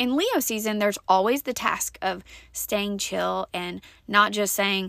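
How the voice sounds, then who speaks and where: A woman's medium-pitched voice with a bright, sharp tone at a moderate pace, on a very clean recording with a silent background. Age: 40s. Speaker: podcast host. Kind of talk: personal storytelling monologue.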